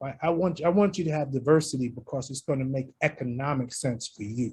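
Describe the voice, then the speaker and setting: The speaker talks at a fairly quick pace. The voice is somewhat breathy. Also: man, fairly high pitch for a man, ordinary pitch variation. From New York. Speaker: university athletic director. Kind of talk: radio interview.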